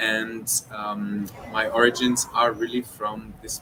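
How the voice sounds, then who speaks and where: A man talks at a very slow pace in a fairly low pitch. His intonation is fairly even, with noticeable background noise. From Israel, Jerusalem. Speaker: orchestra conductor. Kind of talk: interview. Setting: live stream. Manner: hesitant, many fillers.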